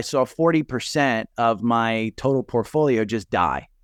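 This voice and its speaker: With a New Jersey accent, a man speaks at a fairly slow pace and ordinary pitch variation. The sound is dry and close with no echo, against a quiet background. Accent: New Jersey, Sopranos-style. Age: 50s. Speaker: retired investor and stock podcaster. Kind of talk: casual interview.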